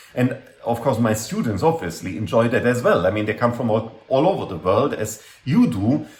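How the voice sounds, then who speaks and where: The voice is somewhat breathy, moving at a moderate pace with ordinary pitch variation amid audible room echo. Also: man. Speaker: university lecturer. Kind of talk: lecture. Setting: classroom talk. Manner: hesitant, many fillers. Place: home room. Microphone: webcam.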